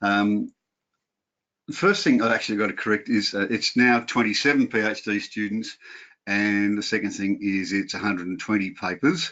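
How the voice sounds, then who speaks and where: The speaker has a strong Australian accent and talks at a moderate pace. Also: man. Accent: broad Australian. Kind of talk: webinar lecture. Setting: video call.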